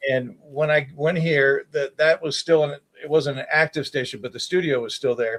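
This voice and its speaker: In a dry, close recording with no echo, a man with an American accent and a plain, everyday voice talks at a moderate pace, his fairly high pitch kept to a fairly even intonation. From Baltimore, Maryland. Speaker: TV meteorologist. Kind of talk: casual interview.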